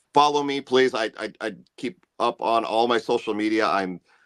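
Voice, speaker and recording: In a dry, close recording with no echo, a man with an ordinary speaking voice talks at a fairly slow pace with ordinary pitch variation. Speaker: singer-songwriter and musician. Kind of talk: casual interview chat. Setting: live video stream.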